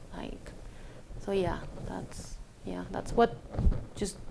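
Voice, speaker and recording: A woman with a Chilean accent speaks at a fairly slow pace in a monotone, flat intonation. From Chile, Villa Alemana. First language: Spanish. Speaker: immigrant sharing life story. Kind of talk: personal testimony interview. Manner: halting, many fillers and restarts.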